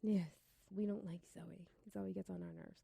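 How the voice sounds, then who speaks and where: With a Brooklyn accent, a woman speaks in an animated tone, the sound dry and close with no echo. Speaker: college radio host. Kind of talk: casual chat.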